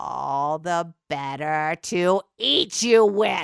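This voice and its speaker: A growling, put-on character voice at a middle pitch moves along at a very slow pace. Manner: growling, menacing.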